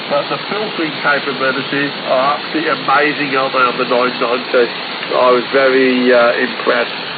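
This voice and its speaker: A man's voice comes with audible room echo. Noticeable background noise is present. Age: 50s. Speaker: amateur radio operator. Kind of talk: radio contact chat. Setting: amateur radio transmission. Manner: hesitant, many fillers.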